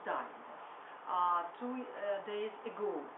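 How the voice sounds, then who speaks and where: A woman's fairly high voice in a Russian accent at a very slow pace, with audible room echo and noticeable background noise. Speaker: workshop participant. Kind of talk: impromptu speech. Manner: halting, many hesitations.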